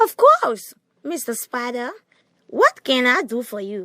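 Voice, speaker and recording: In a put-on character voice, a woman speaks high-pitched and fairly slowly, her voice sounding female. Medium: audio drama.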